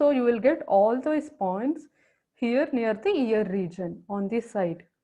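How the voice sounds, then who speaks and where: With a normal speaking voice, a woman uses a fairly high pitch and ordinary pitch variation. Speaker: acupressure teacher. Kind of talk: lecture.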